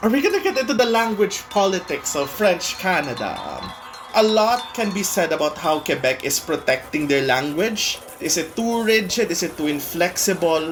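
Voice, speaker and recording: Music plays in the background behind a speaker with a Filipino accent. The pace is moderate, with hardly any pauses. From Philippines. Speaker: performer. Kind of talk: documentary interview.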